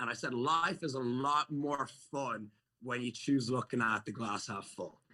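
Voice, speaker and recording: With an Irish accent, a man talks at a fairly slow pace in a medium pitch, his tone bright and sharp, with ordinary pitch variation. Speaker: fitness entrepreneur and YouTuber. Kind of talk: casual chat. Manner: animated.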